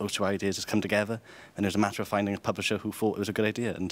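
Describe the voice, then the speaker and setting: A man talks with a Welsh accent at a very fast pace. His pitch is fairly low. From Wales. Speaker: writer and editor. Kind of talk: interview.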